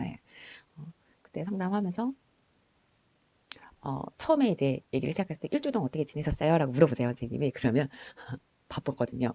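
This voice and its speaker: Dry and close with no echo, a woman's very deep, low, dark, mellow voice races along at a very fast pace with lively intonation, broken by long, frequent pauses. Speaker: school counselor. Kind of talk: personal storytelling. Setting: at home late at night.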